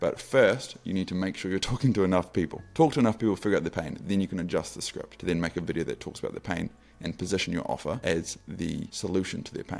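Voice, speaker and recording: Very fast and mumbled, this man's very deep, low voice runs on with hardly any pauses and ordinary pitch variation. Faint music plays in the background. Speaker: sales and outreach coach; sales, outreach coach. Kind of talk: tutorial. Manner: mumbles somewhat; casual. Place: home room. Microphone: studio mic.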